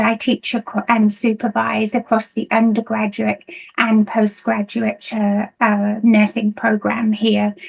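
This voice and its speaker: A woman with a British accent speaks at a moderate pace. Her voice is fairly high and somewhat breathy. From United Kingdom. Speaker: nursing lecturer. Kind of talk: conference presentation. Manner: hesitant, many fillers.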